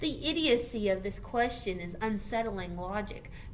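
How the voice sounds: Pitch movement here is ordinary. It comes in a natural reading voice.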